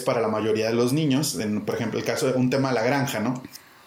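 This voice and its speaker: Amid noticeable background noise and audible room echo, a man speaks at a fairly high pitch with ordinary variation. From Mexico, Monterrey. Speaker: educator, head of an education nonprofit. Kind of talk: interview.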